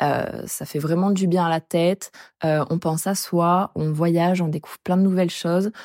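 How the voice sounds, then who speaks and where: A woman with a fairly low voice speaks at a moderate pace in a flat monotone, the sound dry and close with no echo. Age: 20s. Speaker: traveler sharing experience. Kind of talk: casual chat.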